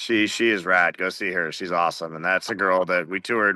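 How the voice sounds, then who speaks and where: Over a quiet background, a man with an American accent talks at a fairly quick pace in a bright, sharp tone. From Montana. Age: 40s. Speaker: rock musician. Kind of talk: casual interview.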